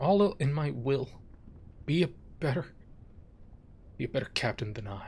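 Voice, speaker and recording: Using a put-on character voice, a raspy man with medium pitch and lively intonation talks at a moderate pace, broken by long, frequent pauses. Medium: game stream.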